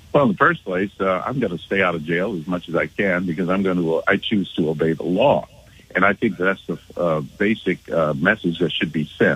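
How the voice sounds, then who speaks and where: A man's very deep, low voice at a fairly quick pace, with ordinary pitch variation. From Los Angeles, South Central. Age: 60s. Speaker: political commentator. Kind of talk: radio debate. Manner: halting.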